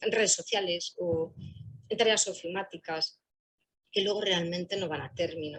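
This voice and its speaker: A woman's voice with ordinary pitch variation and long, frequent pauses. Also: fairly low pitch for a woman, moderate pace. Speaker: employment services professional. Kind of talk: panel talk.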